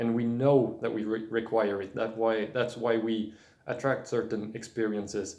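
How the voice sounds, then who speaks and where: A man's dark, mellow voice at medium pitch and moderate pace, with a non-native accent, monotone, flat intonation, and audible room echo. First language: not English. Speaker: spiritual video blogger. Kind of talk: casual monologue. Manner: halting, many fillers and restarts.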